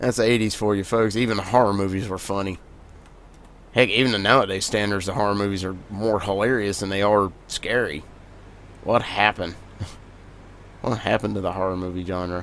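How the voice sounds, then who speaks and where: Talking at a fairly quick pace with long, frequent pauses, a man with a Southern US accent keeps his intonation fairly even and his pitch fairly low. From US South. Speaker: gaming video creator. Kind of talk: gameplay commentary. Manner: casual, conversational.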